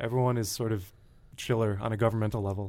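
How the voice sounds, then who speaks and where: Here is a man with an American accent and a normal speaking voice. His pitch is medium and his pace fairly quick. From Connecticut, US. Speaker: writer and designer. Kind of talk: interview. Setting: studio.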